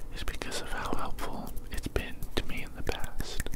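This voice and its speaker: Against loud background noise, a man talks at a fairly slow pace. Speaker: ASMR creator. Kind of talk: ASMR caring friend roleplay. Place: home room. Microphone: studio mic.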